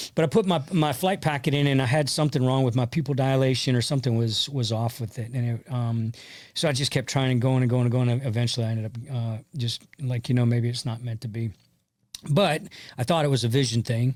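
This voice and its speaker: With an American accent, a man talks at a very fast pace on a very clean recording with a silent background. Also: medium pitch for a man, ordinary pitch variation. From US South, West Central Florida. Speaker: army veteran and country singer. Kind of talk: interview conversation. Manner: halting, many fillers.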